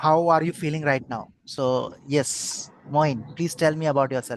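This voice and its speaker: Noticeable background noise under speech at a fairly slow pace. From India. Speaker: podcast host. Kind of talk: interview. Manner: halting.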